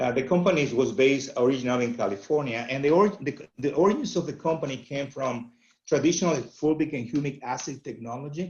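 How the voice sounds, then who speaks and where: Speech rushes out at a very fast pace with hardly any pauses, in a Venezuelan accent. The voice is somewhat breathy, and its pitch varies in an ordinary way. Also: man, fairly high pitch for a man. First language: Spanish. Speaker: agronomy company representative. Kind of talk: webinar presentation. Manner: halting, many fillers.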